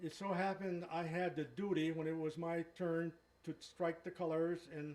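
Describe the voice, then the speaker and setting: A man speaks at a high pitch and a moderate pace. His intonation is monotone and flat. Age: 80s+. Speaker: war veteran. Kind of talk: testimony.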